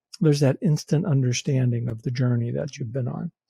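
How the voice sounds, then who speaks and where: A man's somewhat breathy voice with a dark, mellow tone and a dry, close sound with no echo. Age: 60s. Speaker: podcast co-host. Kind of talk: casual chat. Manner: halting.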